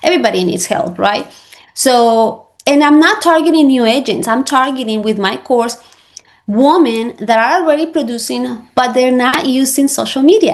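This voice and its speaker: This woman talks at a moderate pace in a high voice with lively intonation. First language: Spanish. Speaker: real estate agent and social media coach. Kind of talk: interview. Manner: halting.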